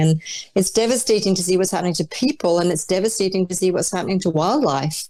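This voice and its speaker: The voice has a dark, mellow tone. It comes with a Scottish accent. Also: woman. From Scotland (Dundee, Orkney). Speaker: arts leader. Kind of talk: interview.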